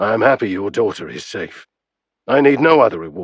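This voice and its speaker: A man's raspy put-on character voice at medium pitch, fairly quick, with very wide pitch swings over a quiet background. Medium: read story.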